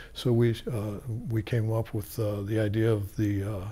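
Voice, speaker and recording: An American accent from a man, somewhat breathy, with a dark, mellow tone. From Tucson, Arizona. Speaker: oral history interviewee, former community board co-chair. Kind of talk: oral history interview, recalling the past. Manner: halting, hesitant with filler words and restarts; slow, reflective, rambling storytelling of an elder. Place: studio.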